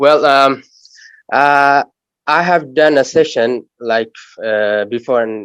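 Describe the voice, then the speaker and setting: A man with an Arabic accent speaks at a very slow pace, with long, frequent pauses. His pitch is fairly high, with ordinary pitch variation. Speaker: audience member. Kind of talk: audience question. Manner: halting.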